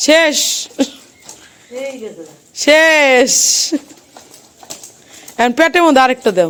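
With a fairly bright tone and a high pitch, a woman speaks at a very slow pace with lively intonation.

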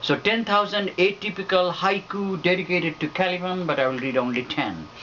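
Over light background noise, a man talks at a fairly quick pace and high pitch with ordinary pitch variation. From Bangladesh. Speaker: poet. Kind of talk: poetry reading; poetry reading introduction. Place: home room. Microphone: camera far.

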